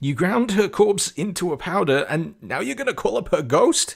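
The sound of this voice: A man's put-on character voice, high-pitched with big swings, a slightly husky edge and vocal fry, at a moderate pace.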